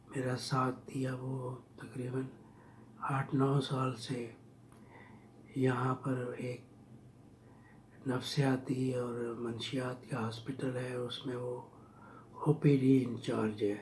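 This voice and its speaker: With noticeable background noise and audible room echo, a man at a medium pitch speaks in a monotone, flat intonation, leaving long, frequent pauses. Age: 60s. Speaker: vlogger telling his life story. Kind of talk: personal storytelling.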